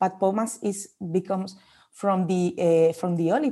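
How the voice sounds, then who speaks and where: Speaking at a moderate pace with a Spanish accent, a woman has a medium pitch and a dark, mellow tone over a quiet background. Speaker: olive oil marketing manager. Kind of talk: interview. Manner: halting.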